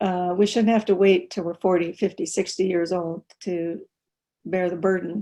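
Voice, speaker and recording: Her American accent carries a dark, mellow tone as the woman speaks at a medium pitch, fairly slow pace, and fairly even intonation. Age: 70s. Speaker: war veteran. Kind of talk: webinar talk. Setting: video call. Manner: halting.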